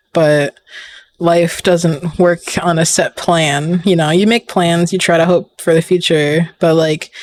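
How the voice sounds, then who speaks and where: Recorded dry and close with no echo, a man speaks in a high-pitched, monotone, flat voice at a fairly slow pace and very even loudness. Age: 20s. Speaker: streamer and artist. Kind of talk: casual chat.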